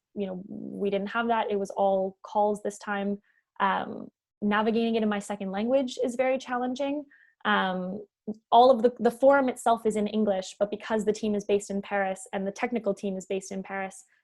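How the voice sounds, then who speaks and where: In a Canadian accent, a woman of medium pitch speaks at a fairly quick pace with fairly even intonation. The recording is very clean, with a silent background. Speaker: panelist, analyst at climate consultancy. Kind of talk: panel discussion. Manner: hesitant, many fillers.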